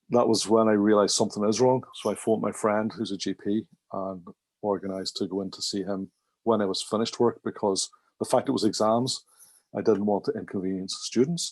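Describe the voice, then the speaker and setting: With a Northern Irish accent, a man speaks at a fairly quick pace and a fairly low pitch, his intonation fairly even, the sound dry and close with no echo against a quiet background. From Northern Ireland, Derry. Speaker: management consultant and trainer. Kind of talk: podcast interview.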